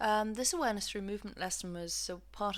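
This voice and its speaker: On a very clean recording with a silent background, a woman with an English accent talks at a very fast pace. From England. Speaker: physiotherapist and movement practitioner. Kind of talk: lesson introduction. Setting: home recording.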